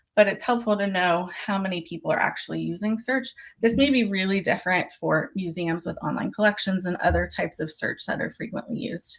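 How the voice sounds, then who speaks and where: The delivery is very fast, with lively intonation. The voice sounds somewhat breathy. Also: woman. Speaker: museum digital marketing presenter. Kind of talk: webinar presentation.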